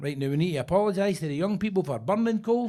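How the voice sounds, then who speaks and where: With a Glaswegian accent, a man speaks at a high pitch with lively intonation. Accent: Glaswegian Scottish. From Scotland, Glasgow (Govan). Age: 60s. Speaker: stand-up comedian. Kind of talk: stand-up. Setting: stage with audience. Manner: animated.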